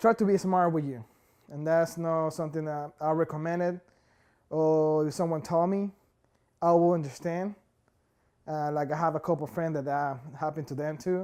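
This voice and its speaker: In a Spanish accent, a dark, mellow voice moves at a moderate pace with long, frequent pauses. The recording is very clean, with a silent background. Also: man. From Ecuador. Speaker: immigrant worker. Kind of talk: interview testimony. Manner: halting, many fillers.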